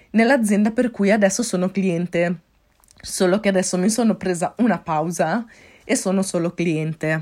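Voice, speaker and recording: A woman's medium-pitched voice at a fairly slow pace, with ordinary pitch variation, on a very clean recording with a silent background. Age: 20s. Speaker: podcaster and life coach. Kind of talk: solo podcast monologue. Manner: upbeat.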